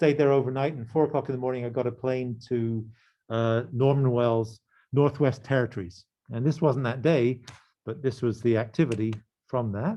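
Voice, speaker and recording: A man with a southern English accent, medium pitch, fairly even intonation and a moderate pace. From England, near London. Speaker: professor. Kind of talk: lecture. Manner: halting.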